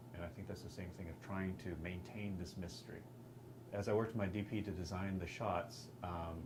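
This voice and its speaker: Over noticeable background noise and audible room echo, a man talks at a fairly quick pace, fairly low in pitch with ordinary pitch variation. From Texas. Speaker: film director and actor. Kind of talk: interview. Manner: halting, with many fillers.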